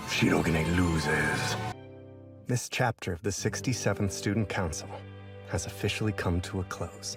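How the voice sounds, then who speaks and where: Music plays in the background as a man talks at a moderate pace. His pitch is fairly low and his intonation fairly even. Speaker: voice actor, anime dub narrator. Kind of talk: anime dub narration, dramatic announcer. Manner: dramatic, playful, mock-serious.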